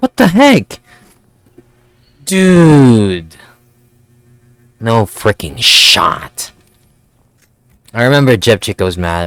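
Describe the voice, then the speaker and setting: Speaking at a very slow pace with long, frequent pauses, a man at medium pitch makes very wide pitch swings in a dry, close sound with no echo. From Philippines. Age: 20s. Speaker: gaming YouTuber. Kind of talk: gameplay commentary. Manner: casual, rambling.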